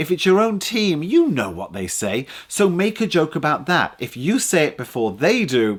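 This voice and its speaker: A man's voice with very wide pitch swings at a moderate pace, on a very clean recording with a silent background. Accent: English. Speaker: public speaking coach. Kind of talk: tutorial. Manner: animated.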